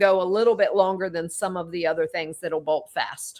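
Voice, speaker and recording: The speaker is a woman with ordinary pitch variation. She talks at a fairly quick pace. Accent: Southern US. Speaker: holistic wellness practitioner and podcast host. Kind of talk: casual chat.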